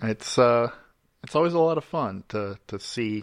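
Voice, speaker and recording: With a normal speaking voice at medium pitch, a man talks in a dry, close sound with no echo and a quiet background. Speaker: cast member, player. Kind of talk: casual chat.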